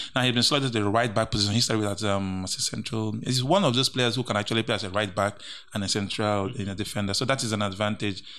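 Talking at a very fast pace with hardly any pauses, a man with a Nigerian accent has a fairly low pitch and a bright, sharp tone. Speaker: co-host and sports pundit. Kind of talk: casual banter about football. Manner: animated.

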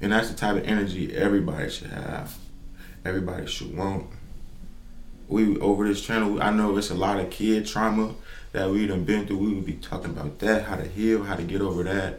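At a fairly quick pace, a man with a fairly low pitch speaks in fairly even intonation, with audible room echo. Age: 20s. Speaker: podcast host. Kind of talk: solo podcast monologue. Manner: casual, halting.

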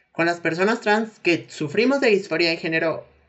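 Medium-pitched woman with a Mexican accent, moderate pace and ordinary pitch variation. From Mexico. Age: 20s. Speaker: physiotherapy student. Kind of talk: interview. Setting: remote call.

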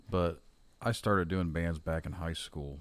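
Very deep, low pitch from a man, with fairly even intonation. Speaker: podcast host and metal musician. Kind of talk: casual chat.

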